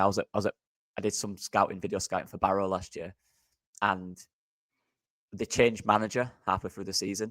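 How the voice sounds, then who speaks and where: Very fast, a man with a Yorkshire accent talks in a dry, close sound with no echo, on a very clean recording with a silent background. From Yorkshire, England. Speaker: football podcast co-host, former video scout. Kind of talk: casual chat.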